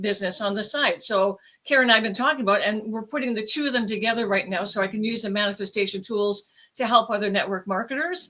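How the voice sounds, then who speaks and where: A woman speaks in an animated, enthusiastic tone with ordinary pitch variation. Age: 60s. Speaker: co-author sharing a personal story, network marketer. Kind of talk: personal testimony on a panel podcast. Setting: live-streamed video podcast panel.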